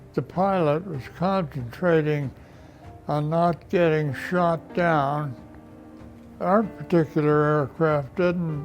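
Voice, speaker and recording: A man's fairly high voice at a very slow pace, with ordinary pitch variation and music in the background. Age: 80s+. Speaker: war veteran. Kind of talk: testimony. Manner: halting.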